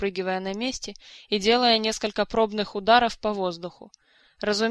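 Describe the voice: Intonation is fairly even in this plain read-aloud.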